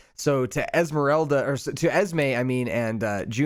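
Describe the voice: Delivered as plain reading aloud, the voice shows ordinary pitch variation.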